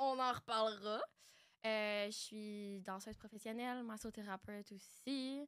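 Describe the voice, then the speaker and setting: The woman talks at a fairly slow pace with fairly even intonation. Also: fairly high pitch for a woman. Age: 20s. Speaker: podcast co-host, dancer and massage therapist. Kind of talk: casual chat.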